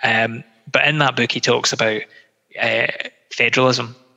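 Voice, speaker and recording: A man with a west of Scotland accent, medium pitch and monotone, flat intonation, over noticeable background noise. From Scotland, Greenock near Glasgow. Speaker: political candidate. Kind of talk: interview. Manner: halting, many fillers.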